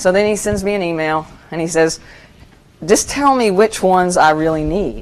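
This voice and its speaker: At a moderate speed, a woman is talking. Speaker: institutional research presenter. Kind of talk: conference presentation. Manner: loud; casual, conversational.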